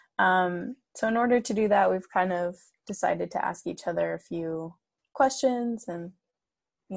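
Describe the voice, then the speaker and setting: A woman with a General American accent uses an ordinary speaking voice at a medium pitch, with ordinary pitch variation and a moderate pace over a quiet background. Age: 20s.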